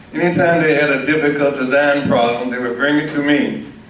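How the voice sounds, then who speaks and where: A man with an American accent at a fairly quick pace, fairly high in pitch with ordinary pitch variation, over noticeable background noise. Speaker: war veteran; aerospace engineer. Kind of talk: public talk.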